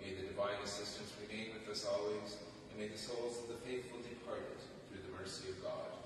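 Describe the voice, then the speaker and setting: Fairly quick speech amid noticeable background noise and strong room echo. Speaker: clergyman leading prayer. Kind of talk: scripture reading and responsive prayer. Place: church. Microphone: camera far.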